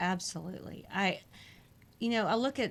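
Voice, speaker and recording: Here a woman is speaking. She has an American accent. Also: very clean recording, silent background. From Houston, Texas. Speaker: school board candidate. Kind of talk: interview.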